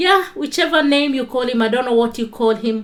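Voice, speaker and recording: The speaker uses lively intonation. The accent is Kenyan. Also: woman. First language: Kikuyu. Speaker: online talk show host. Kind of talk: livestream Bible talk.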